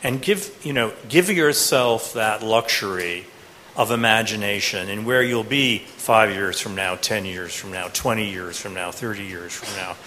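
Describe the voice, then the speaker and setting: There is noticeable background noise. Beneath it, a man's voice sits at a medium pitch. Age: 50s. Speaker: professor. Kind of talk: panel discussion answering student questions. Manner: halting, with many fillers.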